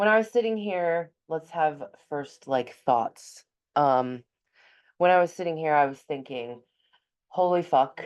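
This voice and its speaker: A woman's very deep, low voice with lively intonation, fairly slow and full of long, frequent pauses. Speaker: astrologer and psychic medium. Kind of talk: casual livestream-style astrology forecast. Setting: at home in front of her altar. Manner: casual, candid, sweary.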